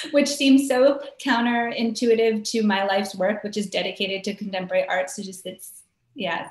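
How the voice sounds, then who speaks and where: At a moderate pace, a woman speaks in a fairly high pitch with ordinary pitch variation and big swings in loudness, with audible room echo. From Hawaii (Maui). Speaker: arts organization director. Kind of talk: interview. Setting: video call. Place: home room. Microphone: video call.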